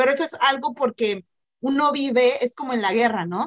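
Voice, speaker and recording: In a Mexican accent, a woman speaks at a moderate pace with an animated tone. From Mexico. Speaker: restaurant owner and content creator. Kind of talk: casual interview chat. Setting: remote call from a restaurant. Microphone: echo, headphones not working.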